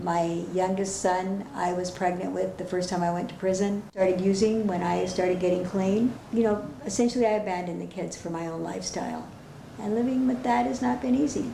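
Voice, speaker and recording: Noticeable background noise and audible room echo around a woman talking at a fairly quick pace. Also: medium pitch for a woman, ordinary pitch variation. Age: 60s. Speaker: former prisoner. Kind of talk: testimony.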